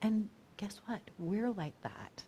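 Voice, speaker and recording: A woman speaks at a very slow pace. Her tone is dark and mellow. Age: 50s. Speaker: minister. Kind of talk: sermon.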